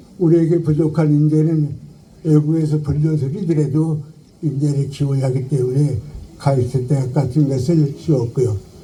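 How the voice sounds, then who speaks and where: This man speaks in a fairly high voice with fairly even intonation and very even loudness, over noticeable background noise. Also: moderate pace. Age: 80s+. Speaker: philosopher, professor. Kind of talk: memorial eulogy speech. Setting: outdoors.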